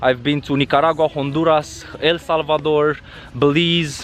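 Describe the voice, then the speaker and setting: Over noticeable background noise, a man with a fairly high voice speaks at a fairly slow pace. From Romania. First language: Romanian. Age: 30s. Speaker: travel vlogger. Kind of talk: vlog monologue. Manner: halting, many fillers.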